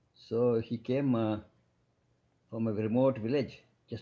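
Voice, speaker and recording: Fairly even intonation in a man's dark, mellow voice of medium pitch. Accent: Kannada. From South India. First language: Kannada. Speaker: physician. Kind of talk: podcast interview. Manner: halting.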